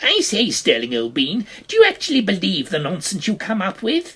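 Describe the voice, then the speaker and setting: A put-on character voice. The pitch sits fairly high. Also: moderate pace. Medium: read story. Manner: posh, breezy.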